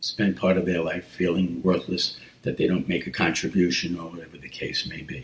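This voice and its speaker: Very deep and low, a man's voice carries vocal fry. He speaks at a moderate pace. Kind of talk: casual talk to camera.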